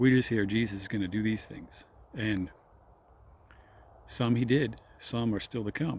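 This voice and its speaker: A man with a medium pitch talks at a fairly slow pace, with ordinary pitch variation. Long, frequent pauses break up his speech. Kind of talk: informal religious talk. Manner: slow, deliberate; hesitant, self-correcting.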